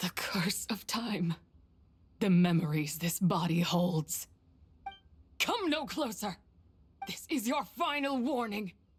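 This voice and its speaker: A female-sounding voice puts on a raspy character voice at medium pitch. She talks at a fairly slow pace with long, frequent pauses. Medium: video game. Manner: cold, menacing.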